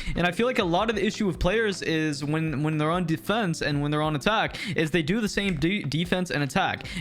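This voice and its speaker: Over noticeable background noise, a high-pitched man talks at a fairly quick pace with hardly any pauses and very even loudness. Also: ordinary pitch variation. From Canada. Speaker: gaming YouTuber. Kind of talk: gaming tips commentary. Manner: casual, filler-heavy.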